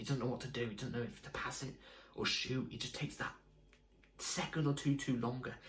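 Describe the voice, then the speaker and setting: With audible room echo, a man at medium pitch talks at a fairly quick pace with fairly even intonation and long, frequent pauses. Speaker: football fan video creator. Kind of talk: casual fan match review. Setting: home at night.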